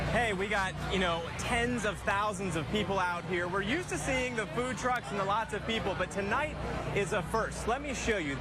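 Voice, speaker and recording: A man speaks in a raised, projected voice, high in pitch with ordinary pitch variation and very even loudness. His pace is moderate, and music plays in the background. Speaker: TV news anchor and reporter. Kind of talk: TV news field report.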